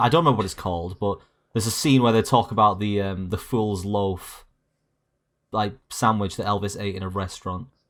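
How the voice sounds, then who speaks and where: Speaking with a slight Yorkshire accent, a man talks at a fairly low pitch. His pace is fairly quick, and the recording is very clean, with a silent background. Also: ordinary pitch variation. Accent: slight Yorkshire twang. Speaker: podcast guest. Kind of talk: casual chat.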